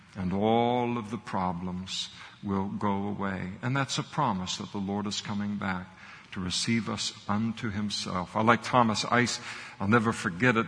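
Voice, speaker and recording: A man's fairly low voice at a moderate pace, with fairly even intonation and audible room echo. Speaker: pastor. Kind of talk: sermon.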